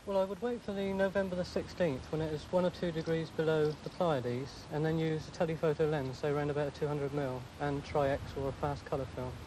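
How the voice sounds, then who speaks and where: The man talks at a very fast pace. The sound is dry with no echo, though noticeable background noise comes through. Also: fairly high pitch for a man, ordinary pitch variation. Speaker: amateur astronomer. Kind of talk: interview. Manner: soft-spoken. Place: garden. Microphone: quiet recording.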